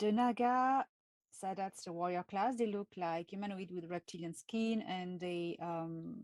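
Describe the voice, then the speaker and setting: A woman with a French accent, medium in pitch with ordinary pitch variation, at a fairly slow pace, in a dry, close sound with no echo. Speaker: channel host, speaker on extraterrestrial topics. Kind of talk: live stream talk. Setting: live video stream. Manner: halting, with many fillers.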